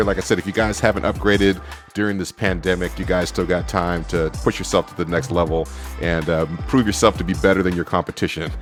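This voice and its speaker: A man talking very fast over music in the background. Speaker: small business owner, bookkeeper and tax preparer. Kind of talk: casual talk to camera. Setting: home studio.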